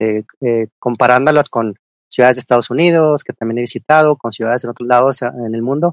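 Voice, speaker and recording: A man talks at a fairly quick pace in a normal speaking voice, with fairly even intonation and a dry, close sound with no echo. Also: medium pitch for a man. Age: middle-aged. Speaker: engineering research manager. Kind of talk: interview.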